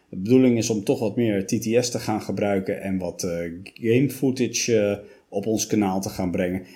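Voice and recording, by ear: At a moderate pace, a man speaks at a fairly low pitch with ordinary pitch variation and a dark, mellow tone.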